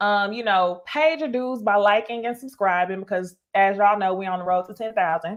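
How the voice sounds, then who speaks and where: A woman's voice with lively intonation. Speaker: YouTuber reviewing reality TV. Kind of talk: live stream commentary with chat. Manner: animated.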